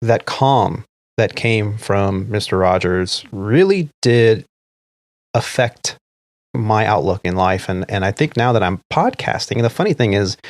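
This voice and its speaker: A man with an American accent speaks at a fairly slow pace with ordinary pitch variation, in a dry, close sound with no echo on a very clean recording with a silent background. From immigrant to US as young child. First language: not English. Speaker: podcast host. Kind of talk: casual chat.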